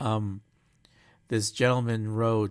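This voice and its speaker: Recorded very cleanly against a silent background, a man speaks in a fairly low pitch with monotone, flat intonation. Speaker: podcast host. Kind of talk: casual chat. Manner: halting, self-correcting.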